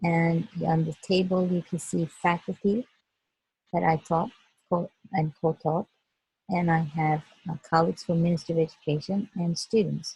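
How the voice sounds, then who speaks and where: A somewhat breathy voice with a dark, mellow tone, fairly even intonation and a Turkish accent. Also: woman, dry, close sound with no echo. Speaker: educator. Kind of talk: presentation. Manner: halting, many fillers.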